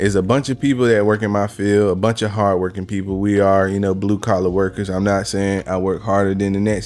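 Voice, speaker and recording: A man with an American accent talks at a fairly quick pace in a fairly low, monotone voice with flat intonation and hardly any pauses. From rural Virginia. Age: 30s. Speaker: podcast host and blue-collar manager. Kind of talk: casual podcast conversation.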